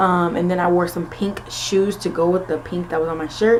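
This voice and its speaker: A woman with an American accent talks at a fairly low pitch and moderate pace. There is audible room echo and noticeable background noise. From Florida, US (early years Philadelphia). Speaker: nursing student vlogger. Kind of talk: casual vlog Q&A. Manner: casual with frequent fillers.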